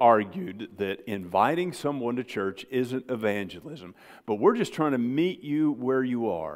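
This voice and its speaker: Hardly pausing at all, this speaker uses very wide pitch swings in an Ozark accent. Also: man, very clean recording, silent background. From Ozarks, US Midwest/South. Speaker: pastor. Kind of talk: sermon. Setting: church.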